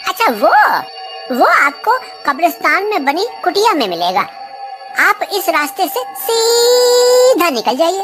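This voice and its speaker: Clear music can be heard behind the voice. A put-on character voice delivers its lines very slowly. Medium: audio drama. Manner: jovial.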